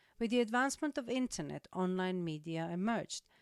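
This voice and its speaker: A woman with a Croatian accent talks at a moderate pace and a medium pitch with lively intonation, in a dry, close sound with no echo and a very clean recording with a silent background. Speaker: digital marketing trainer. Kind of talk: lecture.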